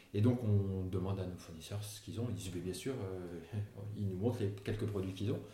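A man with a fairly low pitch talks at a fairly quick pace and fairly even intonation. Audible room echo and noticeable background noise fill the recording. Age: 40s. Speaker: entrepreneur, company co-founder. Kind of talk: casual interview conversation. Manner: hesitant, many fillers.

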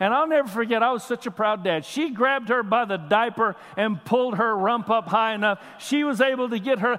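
Loud and animated, a man speaks at an extremely high pitch and a fairly quick pace with ordinary pitch variation. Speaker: pastor. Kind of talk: sermon. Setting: church.

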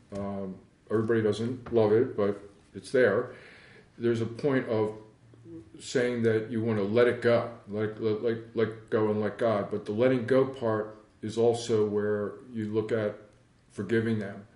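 In a room with audible echo, a man with an American accent speaks fairly slowly at a medium pitch with monotone, flat intonation. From Philadelphia, Pennsylvania. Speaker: meditation teacher. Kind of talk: talk on forgiveness. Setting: recording venue.

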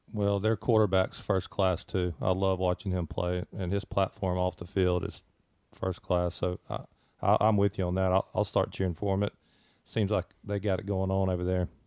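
In a Mississippi accent, a man speaks at a moderate pace with a very deep, low pitch and monotone, flat intonation, on a very clean recording with a silent background. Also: dry, close sound with no echo. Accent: US Southern (Mississippi). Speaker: mortgage branch manager. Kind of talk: casual chat. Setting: studio.

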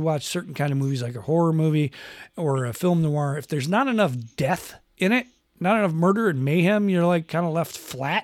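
With a high pitch and lively intonation, a man speaks at a moderate pace on a very clean recording with a silent background. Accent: American. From Western New York. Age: 50s. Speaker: podcast host. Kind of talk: casual chat. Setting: home podcast studio.

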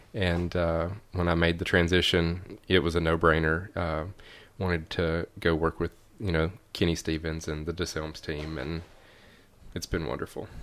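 A man with a Tennessee accent speaks in a very deep, low, flat monotone on a very clean recording with a silent background. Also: moderate pace. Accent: Southern US (Tennessee). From Middle Tennessee, near Kentucky line. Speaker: realtor and outdoor video maker. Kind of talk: casual chat. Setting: at host's house.

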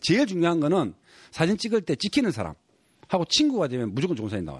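A man with a Gyeongsang accent, fairly high pitch and very wide pitch swings, at a fairly quick pace, on a very clean recording with a silent background. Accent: Gyeongsang Korean. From South Korea, Gyeongsang region. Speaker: photographer and author. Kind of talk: casual chat.

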